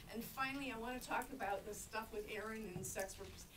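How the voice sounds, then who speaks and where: Over noticeable background noise, a woman with an American accent talks at a fairly quick pace with a fairly high pitch. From United States. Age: 60s. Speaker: sex worker rights activist; panelist. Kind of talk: panel discussion. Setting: conference panel with audience. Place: meeting room. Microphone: camera far.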